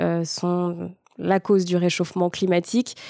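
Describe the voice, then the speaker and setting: A woman speaks at a fairly slow pace with a medium pitch. Her tone is dark and mellow, and her intonation stays fairly even. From Paris region, France. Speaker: weather presenter and radio host. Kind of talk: interview.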